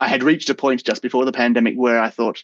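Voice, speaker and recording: Speaking very fast with an Australian accent, a man at a medium pitch comes through in a dry, close sound with no echo. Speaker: actor. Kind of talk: casual interview chat.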